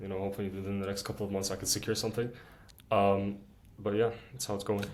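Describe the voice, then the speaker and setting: Very fast and in a flat monotone, a man speaks at a fairly low pitch with audible room echo. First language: Arabic. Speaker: student YouTuber. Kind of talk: casual chat.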